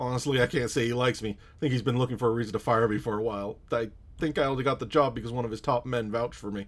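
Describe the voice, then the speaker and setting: A raspy, put-on character voice from a man, medium in pitch and fairly even in intonation, very fast with hardly any pauses. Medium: game stream. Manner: nervous, defensive.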